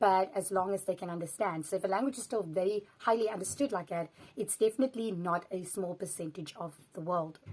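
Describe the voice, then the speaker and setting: A woman's medium-pitched voice with a South African accent, at a fairly quick pace with ordinary pitch variation. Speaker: language vlogger. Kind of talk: casual vlog commentary.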